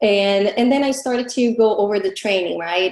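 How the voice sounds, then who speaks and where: The woman talks at a moderate pace. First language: not English. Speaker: affiliate marketing coach. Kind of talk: live webinar class.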